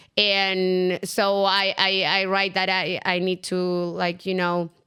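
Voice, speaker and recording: In a very clean recording with a silent background, a woman of medium pitch with a Latin American accent speaks very slowly, her tone bright and sharp, her intonation monotone and flat, and her loudness very even. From Chile. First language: Spanish. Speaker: entrepreneur. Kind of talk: interview.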